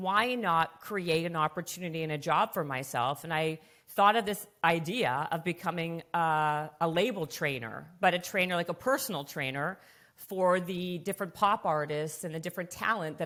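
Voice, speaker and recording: A plain, everyday voice from a woman, fairly low in pitch with ordinary pitch variation, in a very clean recording over a silent background. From Canada. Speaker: fitness entrepreneur and author. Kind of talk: podcast interview. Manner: fast, filler-heavy conversational.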